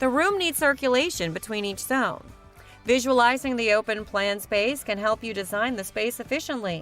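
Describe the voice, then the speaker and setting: With music in the background, a woman speaks at a moderate pace in a fairly high voice with ordinary pitch variation. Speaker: voice-over artist (hired freelance narrator). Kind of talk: corporate narration, home decor list video.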